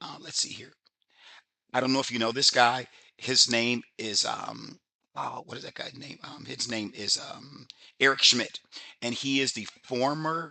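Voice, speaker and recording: A man's bright, sharp voice with big swings in loudness, fairly even intonation, and long, frequent pauses. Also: medium pitch for a man. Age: 60s. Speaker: business opportunity presenter. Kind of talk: sales pitch. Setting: webinar. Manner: fast; casual, halting.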